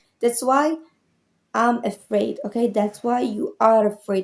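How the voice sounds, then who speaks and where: A woman with a non-native accent speaks at a fairly slow pace. The recording is very clean, with a silent background. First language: not English. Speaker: motivational YouTuber. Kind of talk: motivational talk to camera. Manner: casual, conversational.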